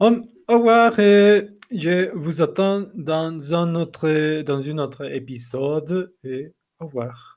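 A man with a non-native accent, fairly high pitch, lively intonation and a very slow pace. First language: not French (speaking French). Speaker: language learner, teacher. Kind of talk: solo podcast monologue. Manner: halting, many repetitions and fillers.

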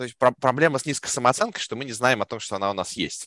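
In a normal speaking voice, a man talks at a fairly quick pace with lively intonation, the sound dry and close with no echo over a quiet background. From Russia. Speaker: product manager. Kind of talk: podcast interview.

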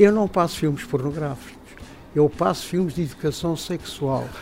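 This man's pitch rises and falls in an ordinary way. He keeps to a moderate pace. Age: 70s. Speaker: retired film projectionist. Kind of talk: interview. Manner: halting.

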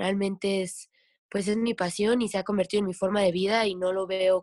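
A woman speaks at a medium pitch in a monotone, flat intonation. The sound is dry and close, with no echo. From Mexico, Veracruz (Tlapacoyan). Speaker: professional kayaker and kayak instructor. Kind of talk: casual interview chat.

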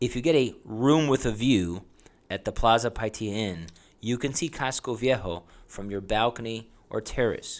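A man in a plain, everyday voice, medium-pitched, at a moderate pace with ordinary pitch variation, on a very clean recording with a silent background. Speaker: travel podcast host. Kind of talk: scripted-style travel guide monologue. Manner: informal, chatty.

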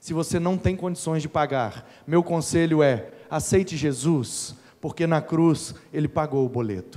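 Using a normal speaking voice, a man talks at a fairly slow pace in a fairly high pitch with ordinary pitch variation. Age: 30s. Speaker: preacher. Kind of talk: sermon.

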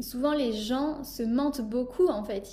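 Over noticeable background noise and audible room echo, a woman with a high voice talks in a fairly even intonation. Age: 20s. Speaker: podcast host and life coach. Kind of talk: casual chat.

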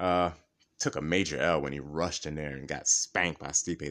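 Over a quiet background, a man with a very deep, low pitch and vocal fry talks at a fairly quick pace with ordinary pitch variation. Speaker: MMA podcast host. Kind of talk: casual chat. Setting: home recording. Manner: animated.

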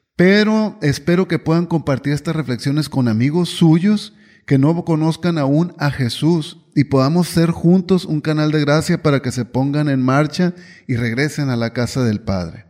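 Pitch rises and falls in an ordinary way across a normal speaking voice. Nothing can be heard behind it, and the audio is very clean. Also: man, fairly high pitch for a man. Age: 50s. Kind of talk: devotional reflection monologue.

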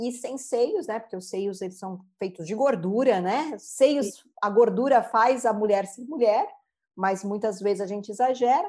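An ordinary speaking voice moves at a fairly slow pace, with ordinary pitch variation and big swings in loudness. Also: woman, fairly high pitch for a woman. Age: 40s. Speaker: therapist and mandala artist. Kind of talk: interview.

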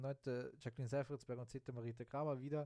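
The sound is dry and close, with no echo. A man with a dark, mellow tone speaks at a very fast pace in a monotone, flat intonation. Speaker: sports podcast host. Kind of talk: casual sports commentary monologue. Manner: unscripted, many fillers.

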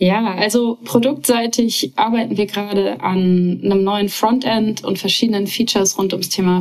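A woman speaks at medium pitch with ordinary pitch variation and a moderate pace. Noticeable background noise runs behind her. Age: 30s. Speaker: startup founder and CEO. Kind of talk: interview.

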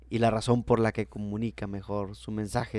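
In a plain, everyday voice, a man speaks at a fairly low pitch and moderate pace with fairly even intonation. The recording is very clean, and the background is silent. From Mexico, Baja California (Tijuana). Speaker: university lecturer and entrepreneur. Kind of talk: interview conversation.

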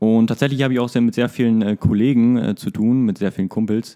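Intonation stays fairly even, with a dark, mellow tone. The sound is dry and close with no echo, on a very clean recording with a silent background. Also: man. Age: 20s. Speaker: church youth leader and lay preacher. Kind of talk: casual chat.

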